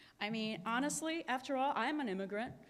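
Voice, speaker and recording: A woman talks at a fairly quick pace with lively intonation. Audible room echo surrounds her voice. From Cuba. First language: Spanish. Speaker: energy company executive. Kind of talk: conference keynote speech.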